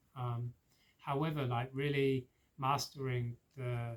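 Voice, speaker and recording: A man speaks with a southern English accent at medium pitch. His voice is somewhat breathy and his intonation monotone and flat. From England, Oxford. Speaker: spiritual practitioner, recovering addict. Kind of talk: personal testimony. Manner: hesitant, many fillers.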